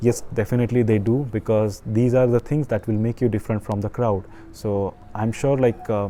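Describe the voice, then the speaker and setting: A man with an Indian accent, fairly even intonation and a moderate pace. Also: medium pitch for a man. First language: an Indian language. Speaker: online business coach. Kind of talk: tutorial. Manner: halting.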